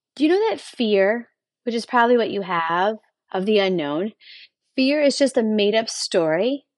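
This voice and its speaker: A woman's animated, fairly high voice with lively intonation, a moderate pace and long, frequent pauses, dry and close with no echo, over a quiet background. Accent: Western New York. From Buffalo, New York, US. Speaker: motivational podcaster. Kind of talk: motivational monologue.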